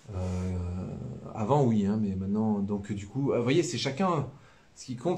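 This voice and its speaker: Speaking at a very slow pace in a southern French accent, a man uses a medium pitch and lively intonation. Audible room echo surrounds his voice. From southern France. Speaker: priest. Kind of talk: live-stream religious teaching. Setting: live stream. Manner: casual, many hesitations.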